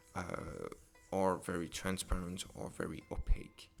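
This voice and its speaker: A man with a French accent speaks at a fairly slow pace. His pitch is very deep and low, with fairly even intonation. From France. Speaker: digital artist. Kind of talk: tutorial. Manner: hesitant, many fillers.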